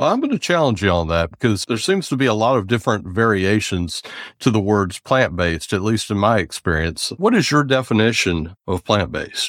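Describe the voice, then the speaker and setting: With an American accent, a man with an ordinary speaking voice and a fairly low pitch talks at a fairly quick pace with hardly any pauses, lively intonation, very even loudness, and a dry, close sound with no echo. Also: very clean recording, silent background. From US South, near Charlotte. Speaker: podcast host. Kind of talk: casual interview.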